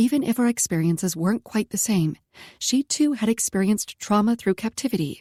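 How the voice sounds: The recording presents a natural reading voice.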